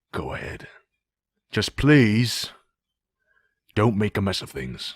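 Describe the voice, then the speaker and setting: A man puts on a raspy character voice, fairly low for a man, with very wide pitch swings. He goes at a fairly slow pace, with big swings in loudness. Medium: cartoon. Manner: gruff, dry.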